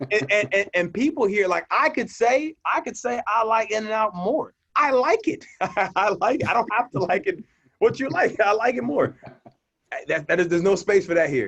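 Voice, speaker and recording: Animated man with an American accent, high-pitched, very wide pitch swings, moderate pace. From Mississippi and California. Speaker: poet and minister. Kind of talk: casual interview chat. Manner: animated, repeats words.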